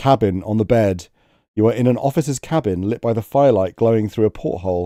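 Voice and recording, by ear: Reading aloud in a natural voice over a quiet background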